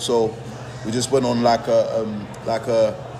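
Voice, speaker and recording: Noticeable background noise surrounds a man's voice. Audible room echo is present too. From Nigeria, then England. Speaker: rapper. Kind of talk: casual interview chat.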